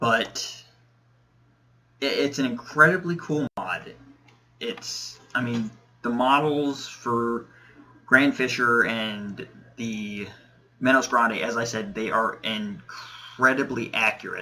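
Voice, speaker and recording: With noticeable background noise behind him, a man speaks at a very slow pace and medium pitch, leaving long, frequent pauses and using ordinary pitch variation. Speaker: gaming youtuber. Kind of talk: gameplay commentary. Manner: hesitant, many fillers.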